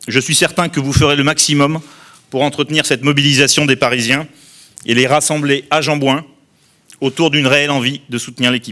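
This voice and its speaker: A man speaks in a flat monotone with long, frequent pauses while music plays in the background. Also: fairly high pitch for a man, fairly quick pace. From southern France, Tarn-et-Garonne. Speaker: outgoing club president. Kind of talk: formal speech. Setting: press conference. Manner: formal.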